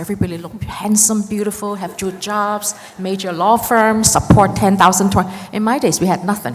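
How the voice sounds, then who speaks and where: There is noticeable background noise. A woman with a medium pitch speaks at a fairly quick pace. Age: 60s. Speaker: immigration lawyer, audience member asking a question. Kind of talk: audience question at a panel. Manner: animated.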